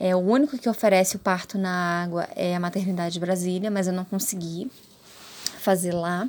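A woman speaks in an ordinary speaking voice at medium pitch. Her intonation is fairly even and her pace moderate. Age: 30s. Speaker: mother sharing birth story. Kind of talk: personal testimony.

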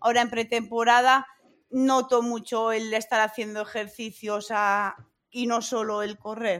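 Her pitch fairly high, a woman speaks at a fairly slow pace with monotone, flat intonation. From Spain, La Rioja. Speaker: amateur runner. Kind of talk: interview.

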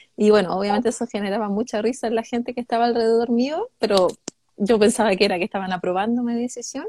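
A woman speaks very fast in a fairly high, dark and mellow voice with fairly even intonation, the sound dry and close with no echo. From northern Chile, Calama. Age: 30s. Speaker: psychologist and sex educator. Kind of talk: interview on a live stream.

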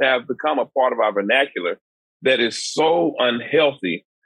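A man with an American accent speaks at a moderate pace in a fairly high pitch, his voice showing vocal fry and very wide pitch swings. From Dallas, Texas. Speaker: nonprofit founder, mentoring organization. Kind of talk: podcast interview.

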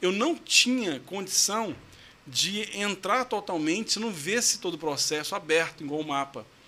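In a Goiás accent, a man speaks at a high pitch with a raised, projected voice. His intonation is lively and his pace moderate. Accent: Goiás accent, strong retroflex r. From Goiás, Brazil (São Luís de Montes Belos). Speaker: lawyer. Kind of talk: testimonial interview.

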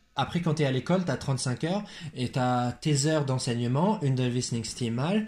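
Somewhat breathy and at a medium pitch, a man talks at a moderate pace with lively intonation and very even loudness. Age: 20s. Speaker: teacher. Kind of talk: casual chat.

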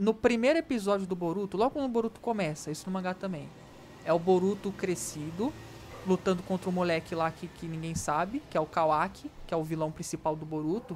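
Here is a plain, everyday voice from a woman at a fairly low pitch. She talks fairly quickly with ordinary pitch variation. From Rio de Janeiro. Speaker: podcast co-host. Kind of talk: casual chat. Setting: remote recording.

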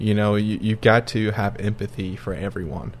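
The man's voice sits fairly low, with vocal fry and ordinary pitch variation. His pace is moderate. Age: 20s. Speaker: podcast co-host, architectural designer. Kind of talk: casual chat.

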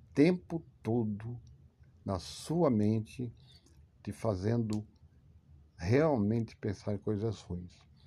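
The voice has a dark, mellow tone and ordinary pitch variation at a very slow pace. The recording is very clean with a silent background. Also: man. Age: 50s. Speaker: podcaster talking about anxiety, English teacher. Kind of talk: monologue / talk.

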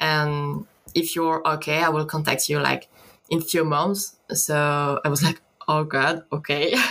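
With a French accent, a woman talks at a fairly slow pace in a very deep, low voice, her intonation fairly even and her loudness very even. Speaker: concept artist. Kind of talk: interview. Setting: video call. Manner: halting.

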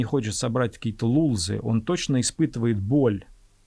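In a very clean recording with a silent background, a man with an ordinary speaking voice talks at a fairly quick pace with lively intonation. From Russia, Reutov near Moscow. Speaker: screenwriter and producer. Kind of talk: casual chat. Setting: studio.

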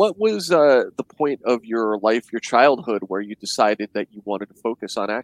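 A man with an unremarkable speaking voice talks at a moderate pace and medium pitch, with hardly any pauses and ordinary pitch variation. His loudness swings widely, and the sound is dry and close with no echo. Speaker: podcast host. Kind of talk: casual interview. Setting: video call.

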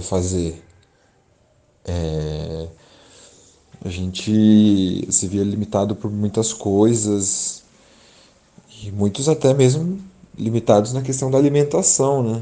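A very slow pace with long, frequent pauses from a man with a fairly low pitch, a dark, mellow tone and ordinary pitch variation. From São Paulo, Brazil (Grajaú, south zone periphery). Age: 30s. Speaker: geographer, teacher and cultural organizer. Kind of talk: interview. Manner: halting, many fillers.

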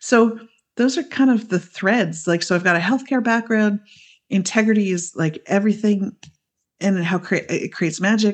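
Against a quiet background, a woman with a Canadian accent speaks in a plain, everyday voice at a medium pitch and moderate pace, with ordinary pitch variation. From Canada. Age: 40s. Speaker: midwife and women's coach. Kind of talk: casual interview chat.

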